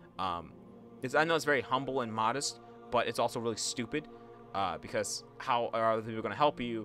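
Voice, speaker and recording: Fairly quick speech with ordinary pitch variation, over music in the background. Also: man, medium pitch for a man. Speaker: YouTuber. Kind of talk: personal vlog monologue. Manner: halting.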